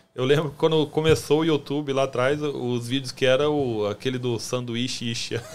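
A man with a Brazilian accent speaks at a medium pitch and a moderate pace. His intonation is fairly even, and he takes hardly any pauses. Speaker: podcast host. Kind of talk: casual interview chat.

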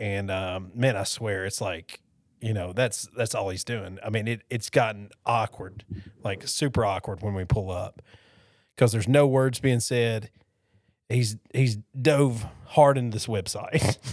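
A man with an unremarkable speaking voice talks at a fairly slow pace. The recording is very clean, with a silent background. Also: medium pitch for a man, ordinary pitch variation. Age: 40s. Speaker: podcast co-host. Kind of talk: casual chat.

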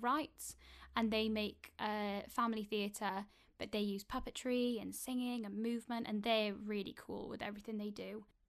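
Pitched fairly high with a Welsh accent, a woman speaks at a moderate pace in a monotone, flat delivery on a very clean recording with a silent background. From Wales. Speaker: actor. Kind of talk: interview.

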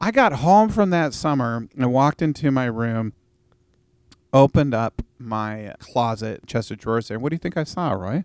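With a Pacific Northwest accent and lively intonation, the speaker talks at a moderate pace on a very clean recording with a silent background and a dry, close sound free of echo. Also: man, medium pitch for a man. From US Pacific Northwest, Vancouver, Washington. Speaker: youth ministry worker and former engineer. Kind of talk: casual interview. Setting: studio. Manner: animated.

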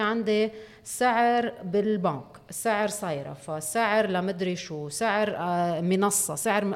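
A woman's unremarkable speaking voice at a medium pitch, with lively intonation. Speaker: parliamentary candidate. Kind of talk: interview.

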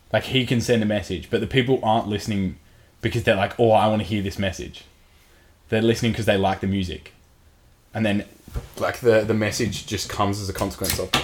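A man talks at a very fast pace, yet with long, frequent pauses. His fairly low voice keeps a monotone, flat intonation. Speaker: podcast co-host. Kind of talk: casual banter podcast chat.

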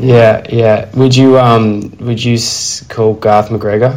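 Over noticeable background noise, a man with an Australian accent speaks at a very slow pace in a medium pitch with flat, monotone intonation. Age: 30s. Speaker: podcast host. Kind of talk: casual chat.

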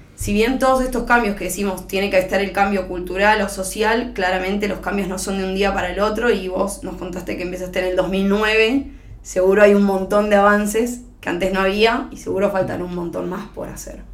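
At a fairly quick pace, a woman with a medium-pitched voice and fairly even intonation speaks amid noticeable background noise and audible room echo. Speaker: podcast host and lawyer. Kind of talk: interview.

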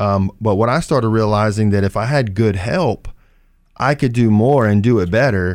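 Here is an unremarkable speaking voice, a man's, fairly low in pitch. He keeps a moderate pace on a very clean recording with a silent background. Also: ordinary pitch variation. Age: 40s. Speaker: flooring company owner. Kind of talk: radio talk show interview.

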